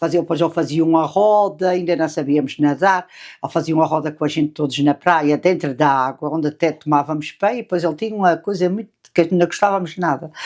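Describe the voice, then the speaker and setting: Very fast speech comes from a woman at a fairly low pitch with ordinary pitch variation. The recording is very clean, with a silent background. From Azores, Terceira island (Angra). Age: 70s. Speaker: grandmother interviewee. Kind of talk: interview, life story. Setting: family documentary interview.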